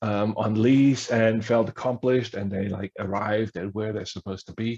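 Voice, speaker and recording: A man with a German accent, fairly low pitch, fairly even intonation and a moderate pace. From Germany. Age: 50s. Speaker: history professor. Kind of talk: workshop talk.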